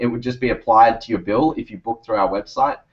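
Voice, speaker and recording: Here a man speaks with an Australian accent at medium pitch. His intonation stays fairly even. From Australia, Sydney. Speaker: startup founder. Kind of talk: interview on video call. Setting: video call. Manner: rambling, hesitant with fillers.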